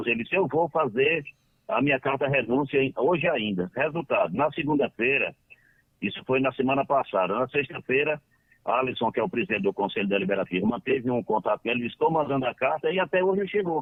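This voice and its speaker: Fairly quick and fairly high in pitch, a man talks with lively intonation. His loudness stays very even. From Northeast Brazil, Ceará (Lavras da Mangabeira). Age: 60s. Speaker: football club council member. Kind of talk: radio interview. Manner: halting.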